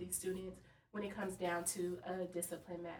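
A woman talks with a normal speaking voice. Her pace is fairly quick. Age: 30s. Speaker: school administrator. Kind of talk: casual chat.

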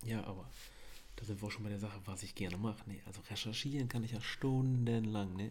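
A man's dark, mellow voice at a fairly low pitch, fairly quick pace and fairly even intonation, with audible room echo. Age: 30s. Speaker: podcast co-host, machinist, father. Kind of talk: casual chat.

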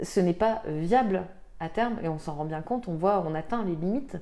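A woman's fairly low, dark and mellow voice with ordinary pitch variation, at a moderate pace. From France, Tarn. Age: 30s. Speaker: association founder. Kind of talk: interview. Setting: at her home. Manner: halting, many fillers.

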